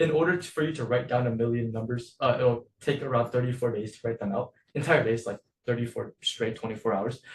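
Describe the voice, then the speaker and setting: A man's somewhat breathy voice at a medium pitch, fairly quick in pace, with ordinary pitch variation. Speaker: coding class teacher. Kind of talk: online lecture. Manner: fast.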